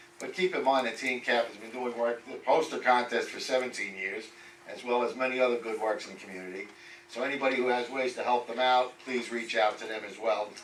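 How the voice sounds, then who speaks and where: The speaker has an American accent and fairly even intonation, with big swings in loudness. Noticeable background noise runs under the voice. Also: man, medium pitch for a man, fairly quick pace. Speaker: community board committee chair. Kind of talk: committee report at public meeting. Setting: public board meeting.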